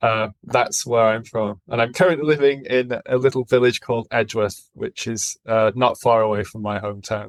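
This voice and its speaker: At a moderate pace and with hardly any pauses, a man with a northern English accent speaks at a medium pitch. The recording is very clean, with a silent background and a dry, close sound with no echo. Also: ordinary pitch variation. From northern England (Accrington, Lancashire). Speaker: podcast guest, former heavy metal drummer. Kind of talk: casual chat.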